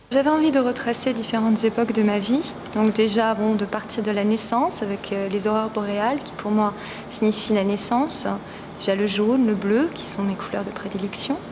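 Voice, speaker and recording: Noticeable background noise behind speech at a moderate pace, with ordinary pitch variation. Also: woman, fairly high pitch for a woman. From Lorraine, France. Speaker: photographer. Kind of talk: interview. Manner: hesitant.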